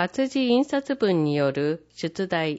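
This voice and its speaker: Speaking at a very slow pace, a woman with a medium pitch makes very wide pitch swings. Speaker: newsletter narrator. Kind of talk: reading aloud. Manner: formal.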